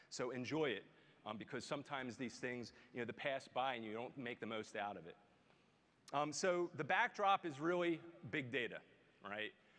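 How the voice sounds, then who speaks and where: With a Philadelphia accent, a man uses a bright, sharp tone and lively intonation, leaving long, frequent pauses. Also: medium pitch for a man, moderate pace. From US Northeast, Philadelphia. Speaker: tech executive. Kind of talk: keynote speech. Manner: filler-heavy, with frequent um and you know.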